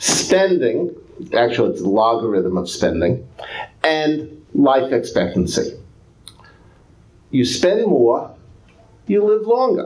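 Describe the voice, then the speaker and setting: A man with a New York accent talks at a very slow pace with long, frequent pauses. Audible room echo surrounds his voice. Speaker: economics professor. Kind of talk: lecture. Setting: public talk with audience.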